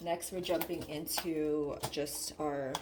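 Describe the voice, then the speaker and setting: A woman speaks with a very deep, low pitch. There is audible room echo and noticeable background noise. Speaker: budgeting YouTuber. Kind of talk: casual tutorial. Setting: away from usual desk setup, others nearby.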